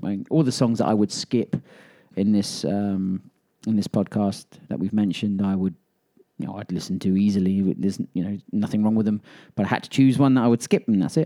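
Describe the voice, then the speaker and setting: Recorded dry and close with no echo, a man with a fairly low, dark, mellow voice speaks at a fairly quick pace with ordinary pitch variation. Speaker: podcast co-host. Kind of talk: casual chat. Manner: halting, many fillers.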